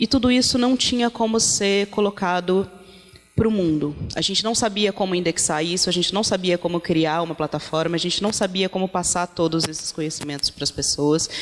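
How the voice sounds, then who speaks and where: Music plays in the background. The speaker keeps a moderate pace and ordinary pitch variation. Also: woman, medium pitch for a woman. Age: 30s. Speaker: feminist activist, project founder. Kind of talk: panel talk. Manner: halting, with fillers.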